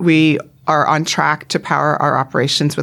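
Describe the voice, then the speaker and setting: A woman speaks in a Canadian accent. Her pitch is very deep and low, with vocal fry. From Canada, Vancouver Island. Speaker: retail executive. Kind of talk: interview.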